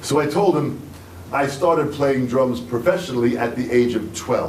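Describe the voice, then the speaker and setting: Against noticeable background noise and audible room echo, a man with a fairly high pitch speaks at a moderate pace with ordinary pitch variation. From US, Long Island, New York. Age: 60s. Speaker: drummer and drum teacher. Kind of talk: masterclass talk through an interpreter. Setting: music store with audience. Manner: short phrases with pauses for translation; animated.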